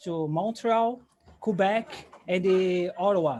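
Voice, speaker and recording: The speaker talks at a very slow pace with a Portuguese accent. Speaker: English learner. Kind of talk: casual chat in English practice group. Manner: halting.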